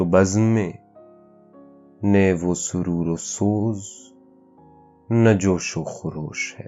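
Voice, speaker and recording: A fairly low male voice with ordinary pitch variation over music in the background. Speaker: poetry reciter. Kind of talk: poetry reading. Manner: calm, soulful.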